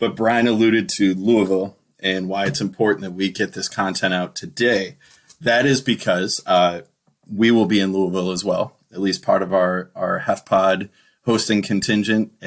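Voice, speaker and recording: In a put-on character voice with a Michigan accent, a man speaks at a moderate pace with fairly even intonation. The voice is raspy and fairly low. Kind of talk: podcast host. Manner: overpronounced, crisply enunciated syllables.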